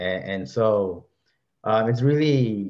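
With an American accent, a man speaks with ordinary pitch variation against a quiet background. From Los Angeles. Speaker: librarian; panelist. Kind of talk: panel discussion. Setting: video call. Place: home room. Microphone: webcam.

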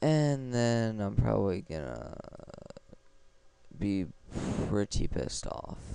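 Very slow and marked by long, frequent pauses, a man's fairly low voice has a dark, mellow tone and very wide pitch swings. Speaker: gaming video creator. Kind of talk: let's play commentary. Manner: stumbles over words.

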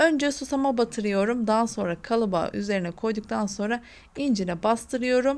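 A normal speaking voice, female and fairly high, at a moderate pace, its pitch shifting an ordinary amount. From Hatay, southern Turkey. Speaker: cooking channel host. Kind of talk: cooking tutorial.

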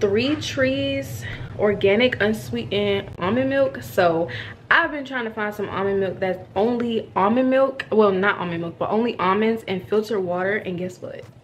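A woman's voice with very wide pitch swings at a moderate pace over light background noise. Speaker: vlogger. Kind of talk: casual vlog chat. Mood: upbeat, chatty. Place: home room. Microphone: phone near.

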